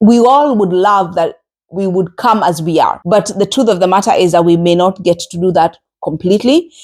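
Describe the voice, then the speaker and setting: A woman speaks with a Kenyan accent at a medium pitch and a moderate pace. Her loudness stays very even, and her pitch varies in an ordinary way. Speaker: podcast host. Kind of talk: solo podcast monologue. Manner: conversational with frequent hesitations.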